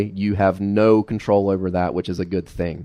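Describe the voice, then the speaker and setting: A man with an Appalachian accent, fairly low pitch and fairly even intonation at a fairly quick pace, in a dry, close recording with no echo and a quiet background. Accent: Appalachian Southern US. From US South, southwestern Virginia (Carroll County). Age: 20s. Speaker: lay preacher. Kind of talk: sermon. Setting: church.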